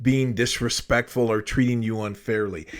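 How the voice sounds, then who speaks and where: In a passionate tone, a man speaks at a medium pitch with ordinary pitch variation. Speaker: self-help YouTuber. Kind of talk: motivational monologue.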